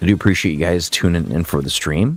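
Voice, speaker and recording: The pitch is very deep and low. It belongs to a man. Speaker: gaming streamer. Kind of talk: live stream commentary. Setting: live stream.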